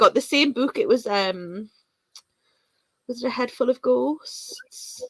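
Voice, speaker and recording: A woman talks with long, frequent pauses. Her voice sounds dry and close, with no echo. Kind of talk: casual chat. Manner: fast.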